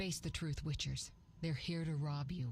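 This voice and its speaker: A woman puts on a growling character voice, very deep and low in pitch, speaking at a moderate pace with fairly even intonation over clear background noise. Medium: video game. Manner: insistent.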